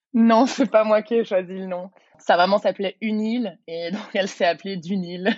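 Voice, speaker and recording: A normal speaking voice. It moves at a moderate pace with fairly even intonation. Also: woman, medium pitch for a woman. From Belgium, Brussels. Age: 30s. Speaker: yoga teacher and entrepreneur. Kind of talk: casual interview.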